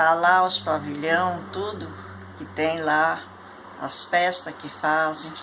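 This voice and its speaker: Audible room echo and noticeable background noise surround a woman who speaks at a fairly low pitch and a very slow pace. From Rio Grande do Sul, Brazil (Candelária). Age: 80s+. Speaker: elderly interviewee recounting life history. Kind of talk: oral history interview.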